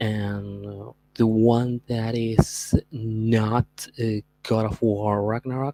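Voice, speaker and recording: Very slow speech in a Spanish accent. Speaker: streamer. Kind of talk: podcast monologue. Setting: livestream. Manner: halting.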